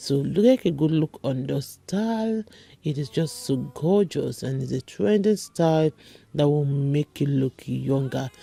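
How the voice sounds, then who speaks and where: A woman with a very deep, low pitch talks at a fairly slow pace with lively intonation, music playing in the background and the sound dry and close with no echo. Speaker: beauty vlogger. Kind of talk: product review vlog.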